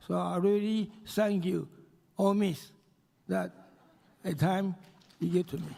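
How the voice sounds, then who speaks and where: Pitched high, a man speaks at a moderate pace in a dark, mellow tone. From Taiwan. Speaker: banker and businessman. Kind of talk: award acceptance speech. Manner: halting.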